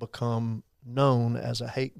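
A man with a Texan accent, medium in pitch and monotone, flat in intonation, on a very clean recording with a silent background. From Texas, Abilene. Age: 60s. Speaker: faith-based campaign director. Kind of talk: podcast interview.

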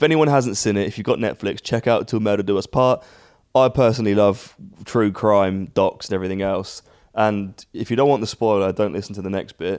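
This man speaks with a British accent and ordinary pitch variation.

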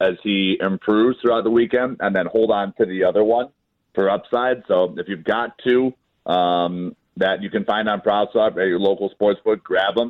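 A man with an American accent speaks in an ordinary speaking voice, fairly low in pitch, at a moderate pace with fairly even intonation. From Chicago. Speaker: sports betting app founder. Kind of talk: casual chat.

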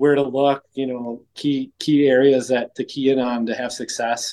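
The speaker has a Wisconsin accent. The intonation stays fairly even. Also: man. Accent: Upper Midwest (Wisconsin). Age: 40s. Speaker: whitetail hunter. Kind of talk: casual interview.

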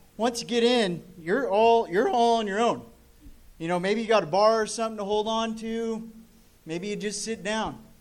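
A man with an American accent speaks at a moderate pace in a high pitch, his intonation fairly even, with audible room echo. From eastern Oregon. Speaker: amateur comedian. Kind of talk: stand-up. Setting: stage with audience.

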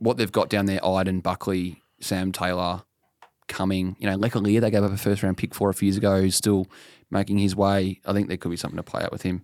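On a very clean recording with a silent background and a dry, close sound with no echo, a man with an Australian accent talks at a fairly quick pace in a fairly low pitch. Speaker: football journalist, podcast co-host. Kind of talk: casual chat. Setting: studio, face to face.

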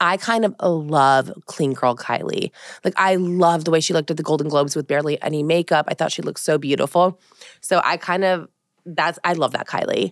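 In a dry, close sound with no echo, a woman with an American accent speaks at a fairly quick pace in a fairly low pitch with ordinary pitch variation. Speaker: podcast host. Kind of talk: casual chat.

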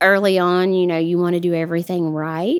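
In a Southern US accent, a woman with a fairly low voice talks at a fairly quick pace in a monotone, flat intonation. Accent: Southern US (Georgia). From US South, South Georgia. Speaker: widowed single mother. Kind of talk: casual interview.

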